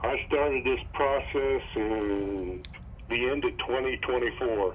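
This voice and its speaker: A man speaks very slowly at medium pitch with ordinary pitch variation. His loudness stays very even over noticeable background noise. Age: 70s. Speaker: customer. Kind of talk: phone interview.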